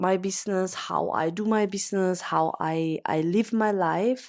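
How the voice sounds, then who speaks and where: A woman's voice at medium pitch with ordinary pitch variation, on a very clean recording with a silent background. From Austria. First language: German. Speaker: podcast host, business coach. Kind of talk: casual monologue. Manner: unscripted, some hesitations.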